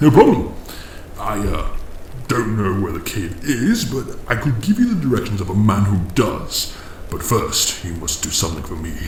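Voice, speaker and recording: Over clear background noise, a man uses a put-on character voice, fairly low in pitch, at a moderate pace. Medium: audio drama. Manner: dry, condescending.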